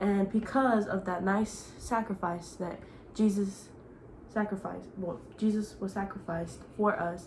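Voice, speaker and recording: Through noticeable background noise, a woman speaks at a fairly slow pace, medium pitch and fairly even intonation. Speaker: youtuber. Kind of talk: casual chat.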